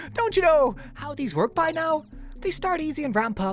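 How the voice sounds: A high-pitched, put-on character voice is heard. Clear background noise runs underneath. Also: moderate pace.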